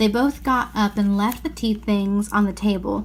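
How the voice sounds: This natural reading voice keeps its intonation fairly level throughout.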